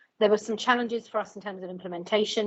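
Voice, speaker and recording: A woman speaks in a monotone with flat intonation. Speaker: GP practice lead. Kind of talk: panel discussion. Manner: fast.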